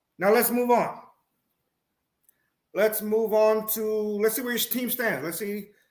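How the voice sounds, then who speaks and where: Speaking at a high pitch, a man moves at a fairly slow pace with long, frequent pauses. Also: fairly even intonation. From Puerto Rico. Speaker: sports talk show host. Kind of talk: live-stream sports talk. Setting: live stream. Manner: halting, tongue-tied.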